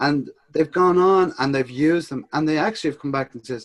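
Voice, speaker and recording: A man with a Dublin accent speaks at a fairly quick pace, his fairly high pitch carrying lively intonation. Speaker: social media business co-founder. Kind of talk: casual chat. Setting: video call.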